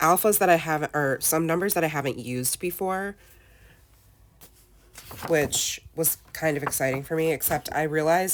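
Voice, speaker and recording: Husky and very deep, with a low pitch, a woman's voice moves at a moderate pace with ordinary pitch variation. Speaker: scrapbooking content creator. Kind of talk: crafting process voiceover. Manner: casual, chatty.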